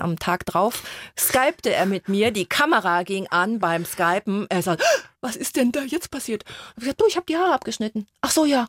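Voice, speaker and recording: A woman talks fairly quickly at a fairly high pitch with very wide swings, her sound dry and close with no echo. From Germany, Mainz. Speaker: coach and author. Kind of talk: radio interview.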